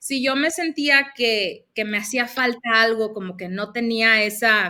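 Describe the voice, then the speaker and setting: Loud and with a northern Mexican accent, a woman speaks fairly slowly in a bright, sharp tone at a fairly high pitch. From northern Mexico, Mexicali, Baja California. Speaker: life coach. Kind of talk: interview.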